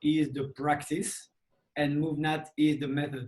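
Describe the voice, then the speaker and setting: A man speaks with a French accent at a fairly high pitch. His intonation stays monotone and flat. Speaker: movement coach. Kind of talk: interview.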